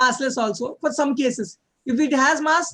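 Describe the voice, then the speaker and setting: This man uses a raised, projected voice that is extremely high-pitched, with a bright, sharp tone and ordinary pitch variation. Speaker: physics tutor. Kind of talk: one-on-one lecture. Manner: fast; halting, many fillers.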